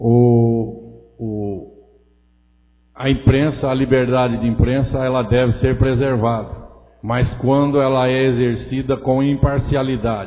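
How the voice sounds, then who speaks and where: Flat, monotone intonation comes at a very slow pace, with audible room echo around the voice. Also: man, medium pitch for a man. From Brazil, interior of São Paulo state. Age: 60s. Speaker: city councilman. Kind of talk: council session speech. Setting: city council chamber. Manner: hesitant, with frequent fillers.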